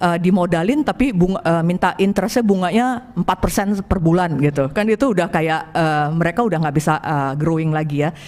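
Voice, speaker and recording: Over noticeable background noise, a woman with a fairly low pitch talks at a fairly quick pace, her intonation lively and her loudness very even. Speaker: angel investor. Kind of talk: presentation to an audience. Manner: halting, many fillers.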